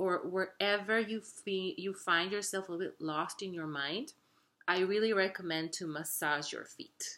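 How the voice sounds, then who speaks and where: A woman with a non-native accent speaks at a fairly slow pace in a medium pitch, her tone bright and sharp, with ordinary pitch variation in a very clean recording with a silent background. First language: not English. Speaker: wellness vlogger. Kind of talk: casual talk to camera. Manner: halting, with self-corrections.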